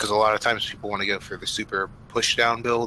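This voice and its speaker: A man mumbles in a bright, sharp tone. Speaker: esports co-commentator. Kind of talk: live commentary. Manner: mumbling.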